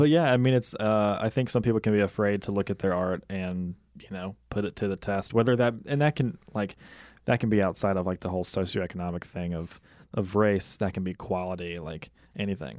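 The delivery is fairly quick, with ordinary pitch variation. The recording is very clean, and the background is silent. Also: man, fairly low pitch for a man. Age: 20s. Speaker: podcast host, art student. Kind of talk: casual chat interview. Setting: studio. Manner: animated, laughs often.

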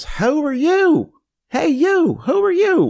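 Using a put-on character voice with a strong East Tennessee accent, the speaker talks very slowly at a high pitch. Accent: drawn-out East Tennessee. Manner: demanding, questioning.

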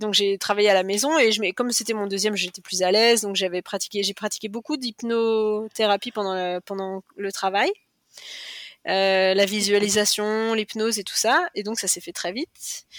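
A woman's medium-pitched voice at a moderate pace, fairly even in intonation, in a very clean recording with a silent background and a dry, close sound with no echo. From western France, Cholet. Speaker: cancer survivor and mother. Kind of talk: testimony. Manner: talkative.

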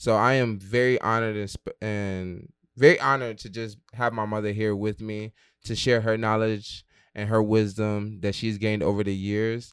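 A man speaks in a normal speaking voice, fairly low in pitch and at a fairly slow pace. His intonation stays fairly even, and the recording is very clean with a silent background. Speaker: podcast host. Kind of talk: interview.

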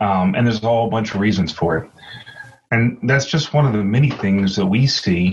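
A man with a plain, everyday voice, fairly low pitch, ordinary pitch variation, and a moderate pace. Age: 40s. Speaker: podcast host. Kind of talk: casual chat.

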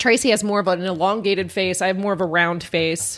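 This is a woman talking. Her pitch sits in the medium range. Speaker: podcast co-host. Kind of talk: casual chat.

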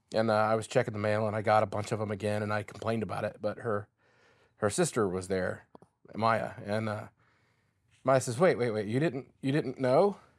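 In a very clean recording with a silent background, a man of medium pitch talks at a moderate pace with ordinary pitch variation. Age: 40s. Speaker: bereaved father. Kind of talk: interview.

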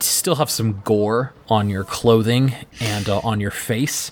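A man talks at a moderate pace with a fairly low pitch. He has an unremarkable speaking voice. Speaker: dungeon master / game host. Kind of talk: tabletop roleplaying actual play, narration and banter.

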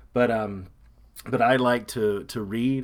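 The man's intonation stays mostly level. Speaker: podcast co-host. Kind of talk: casual chat. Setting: remote call from home. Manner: loud.

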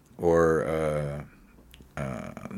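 A man talks over noticeable background noise. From Montana. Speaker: singer-songwriter. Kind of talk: interview conversation.

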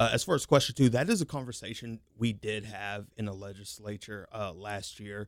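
In an American accent, a man talks at a moderate pace with hardly any pauses, ordinary pitch variation, and big swings in loudness. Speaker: state legislator. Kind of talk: political talk radio interview. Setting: studio.

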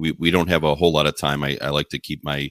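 A man with an American accent speaks with a very deep, low pitch and vocal fry. The sound is dry and close, with no echo. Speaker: podcast host. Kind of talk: interview.

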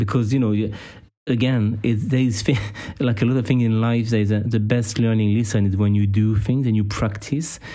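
This man has a French accent and a dark, mellow tone at medium pitch. His intonation is fairly even, his pace moderate, and his loudness very even. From France. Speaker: podcast co-host, personal trainer. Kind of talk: casual interview.

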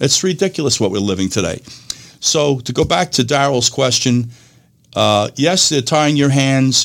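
A man with a medium-pitched voice speaks at a moderate pace, his intonation lively and his loudness very even. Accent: New York. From New York. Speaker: radio host. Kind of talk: call-in radio show discussion.

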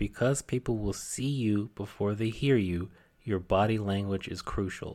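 On a very clean recording with a silent background, a man with an unremarkable speaking voice talks at a fairly low pitch and moderate pace with fairly even intonation. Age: 30s. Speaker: podcast host. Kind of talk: solo podcast monologue. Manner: casual.

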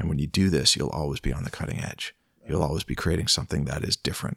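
A man with a Canadian accent, a very deep, low pitch and vocal fry, at a very fast pace with ordinary pitch variation, in a dry, close sound with no echo. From Ontario, Canada (Peterborough). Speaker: songwriter and music producer. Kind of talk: casual interview chat. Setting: at the host's home.

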